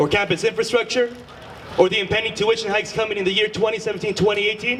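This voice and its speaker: Over noticeable background noise, a man with a high pitch talks at a very fast pace in a monotone, flat intonation. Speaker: student election candidate. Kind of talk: debate.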